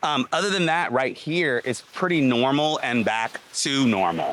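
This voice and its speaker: At a moderate pace, a man speaks with an American accent. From US South. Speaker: travel vlogger. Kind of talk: walking vlog. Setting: outdoors. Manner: animated.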